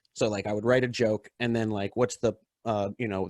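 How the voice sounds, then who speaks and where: A man with an ordinary speaking voice, fairly low in pitch, at a moderate pace with fairly even intonation, in a dry, close sound with no echo. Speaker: stand-up comedian. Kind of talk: casual chat.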